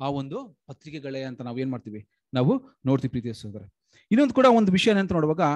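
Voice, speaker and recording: Fairly high in pitch, a man speaks with lively intonation and big swings in loudness. The background is quiet. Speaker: lay preacher. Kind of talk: Bible study sermon. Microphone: video call.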